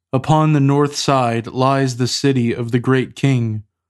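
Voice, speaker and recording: A man talks in a normal speaking voice at a medium pitch and a fairly slow pace. His intonation stays fairly even over a quiet background. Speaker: podcast host leading liturgical prayer. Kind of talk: liturgical prayer and scripture reading. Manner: formal.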